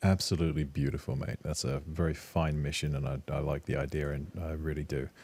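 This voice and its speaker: A man's very deep, low voice with vocal fry, monotone, flat intonation and a calm tone, at a fairly quick pace with hardly any pauses. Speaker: podcast host. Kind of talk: podcast interview. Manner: calm-sounding.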